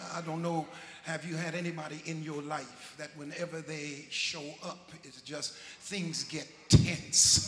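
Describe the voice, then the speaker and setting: A man speaks at a very slow pace with fairly even intonation. Light background noise and audible room echo can be heard. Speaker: preacher. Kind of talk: sermon. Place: church. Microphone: handheld.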